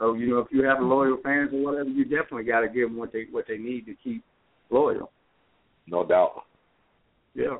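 Long, frequent pauses break up this man's speech. He talks at a fairly quick pace with an American accent. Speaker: author. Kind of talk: interview. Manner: halting.

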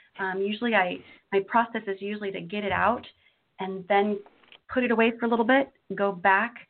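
A woman with an American accent, medium pitch, moderate pace and fairly even intonation. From Washington State, US Pacific Northwest. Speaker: poet and elementary school teacher. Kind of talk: interview and poetry reading. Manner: talkative, many fillers.

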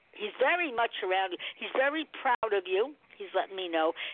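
Her voice is fairly high and moves at a moderate pace. The woman's pitch swings very widely. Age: 70s. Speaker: psychic medium. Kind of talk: psychic readings on a call-in show. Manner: animated.

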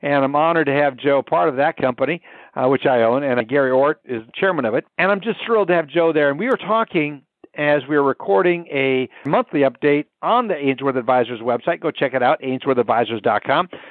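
At a fairly quick pace, a man speaks with a fairly high pitch and very even loudness. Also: lively intonation. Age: 60s. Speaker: podcast host, mortgage professional. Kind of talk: casual interview. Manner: animated.

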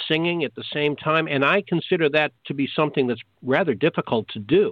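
Moving at a fairly quick pace, a plain, everyday voice speaks with ordinary pitch variation. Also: man. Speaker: co-host and announcer. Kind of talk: radio show banter.

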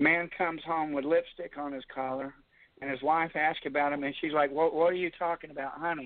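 A man with an ordinary speaking voice, fairly high pitch, fairly even intonation and a fairly quick pace. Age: 60s. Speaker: army veteran caller. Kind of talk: phone-in.

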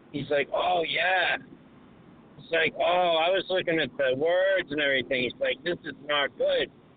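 With a Boston accent, a man speaks at a high pitch for a man and a moderate pace, his pitch varying in an ordinary way over noticeable background noise. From Massachusetts, Boston area (Lynn). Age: 40s. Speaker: cab driver calling in. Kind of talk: casual chat. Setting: phone call from a cab.

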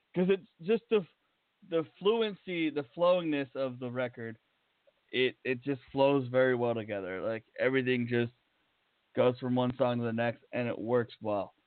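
A man talks in a normal speaking voice at a medium pitch. His pace is moderate and his intonation lively. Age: 30s. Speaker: radio host. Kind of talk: casual interview. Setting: studio. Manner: casual, rambling.

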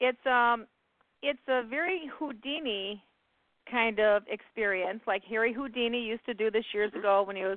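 Someone with an ordinary speaking voice and an American accent talks at a moderate pace with ordinary pitch variation. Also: woman. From US Midwest, Indiana. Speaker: psychic radio host. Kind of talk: call-in radio show.

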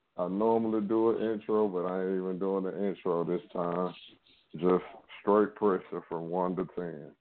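A man speaks with a Louisiana accent and fairly even intonation. He keeps a moderate pace. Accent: Southern US (Louisiana). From Louisiana, Shreveport. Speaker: record label executive. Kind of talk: casual interview. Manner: laid back.

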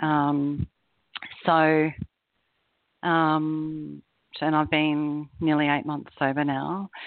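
In an Australian accent, a woman with a very deep, low pitch speaks very slowly and in a monotone, flat intonation, leaving long, frequent pauses. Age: 40s. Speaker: corporate executive in recovery. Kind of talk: personal testimony interview.

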